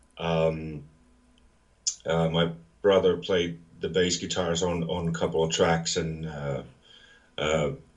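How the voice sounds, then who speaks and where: Very slow and monotone with flat intonation, a man with a very deep, low voice speaks with long, frequent pauses amid audible room echo. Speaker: metal musician. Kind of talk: interview. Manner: halting, many fillers.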